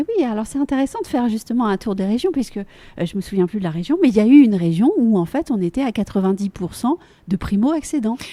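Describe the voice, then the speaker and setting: Talking at a very fast pace, a woman with a fairly high pitch makes very wide pitch swings. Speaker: podcast host. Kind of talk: interview questions.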